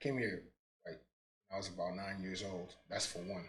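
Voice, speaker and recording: A man speaks at a fairly low pitch with a bright, sharp tone and ordinary pitch variation. He talks at a fairly quick pace, with audible room echo. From New York (Brooklyn), born in Guinea. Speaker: entrepreneur. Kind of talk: casual interview.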